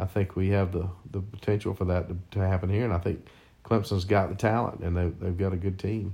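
Speaking in a South Carolina accent, a man has a very deep, low pitch and a dark, mellow, somewhat breathy tone. His delivery is fairly quick and monotone, with flat intonation. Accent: Southern US (South Carolina). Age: 50s. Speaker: father of the host. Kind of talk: casual chat. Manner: halting.

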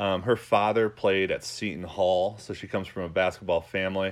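A man with an American accent, an ordinary speaking voice, fairly low pitch, fairly even intonation and a moderate pace. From New York. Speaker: sports podcast host. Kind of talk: solo podcast monologue. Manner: casual, with many fillers.

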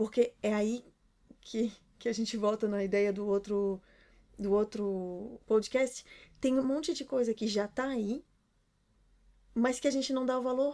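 A woman with a Brazilian accent speaks at a fairly high pitch in a dark, mellow tone. Her pace is fairly slow, with long, frequent pauses. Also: ordinary pitch variation. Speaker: podcast co-host, runs own business. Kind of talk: casual chat.

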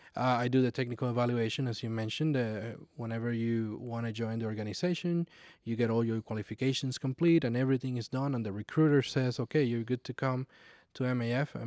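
A man with a Puerto Rican accent, very fast pace and fairly even intonation, in a very clean, silent-background recording with a dry, close, echo-free sound. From Puerto Rico. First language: Spanish. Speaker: flight instructor. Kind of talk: personal testimony interview.

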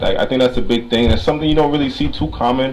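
A man speaks over noticeable background noise. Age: 20s. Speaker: optician. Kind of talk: casual chat.

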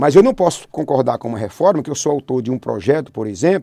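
Dry and close with no echo, a man's dark, mellow voice shows vocal fry and very wide pitch swings. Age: 50s. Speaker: politician. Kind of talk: radio interview.

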